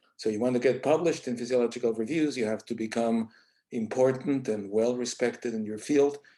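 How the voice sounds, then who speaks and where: Fairly even in intonation, a man speaks in a Spanish accent with a dark, mellow tone. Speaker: associate journal editor, scientist. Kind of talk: panel presentation.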